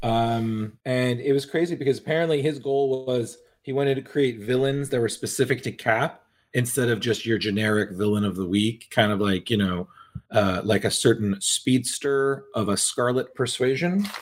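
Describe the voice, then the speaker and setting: An unremarkable speaking voice from a man, medium in pitch, moderate in pace, with ordinary pitch variation. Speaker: podcast co-host. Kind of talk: casual chat.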